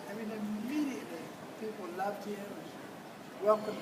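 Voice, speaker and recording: A man speaks with high pitch at a moderate pace. Noticeable background noise can be heard. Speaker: professor. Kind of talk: speech at a reception.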